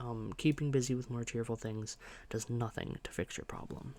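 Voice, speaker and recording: A soft-spoken man talks at a moderate pace and medium pitch, his pitch varying in an ordinary way. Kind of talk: casual talk to camera, ASMR video.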